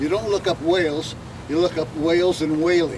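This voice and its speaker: The speaker's intonation stays fairly even against noticeable background noise. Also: man. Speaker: artist. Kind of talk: talk to audience. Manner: loud; halting.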